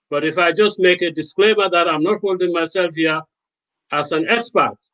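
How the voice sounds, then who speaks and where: At a moderate pace, a man with a Gambian accent speaks at a high pitch with ordinary pitch variation and a bright, sharp tone. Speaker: lawyer and medic. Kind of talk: panel discussion.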